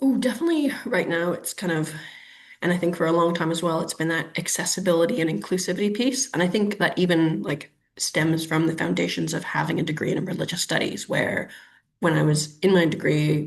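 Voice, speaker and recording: With a Canadian accent, a woman talks at a fairly quick pace in a fairly low-pitched voice with vocal fry and ordinary pitch variation. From Canada, Ottawa. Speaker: urban planner. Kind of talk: webinar interview. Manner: hesitant, many fillers.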